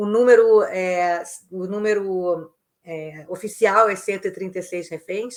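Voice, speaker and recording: At a very slow pace, a woman talks in a voice of medium pitch. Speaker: foreign correspondent journalist. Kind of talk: news commentary. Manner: halting, many fillers.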